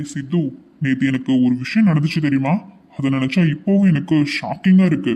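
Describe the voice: Putting on a cartoonish character voice, a man speaks fairly high at a moderate pace with ordinary pitch variation.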